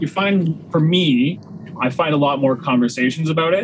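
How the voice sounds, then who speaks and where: A man talks with a Canadian accent at a moderate pace and with ordinary pitch variation. Noticeable background noise can be heard. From Ontario, Canada (Waterloo Region). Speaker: chef and butcher. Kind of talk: casual interview chat.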